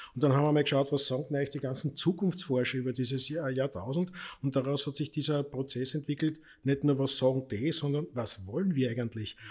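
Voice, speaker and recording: In a very clean recording with a silent background, a man with a somewhat breathy, fairly high voice speaks at a fairly quick pace with ordinary pitch variation. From Austria, Lower Austria (Krems). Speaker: politician and party club director. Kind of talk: casual chat.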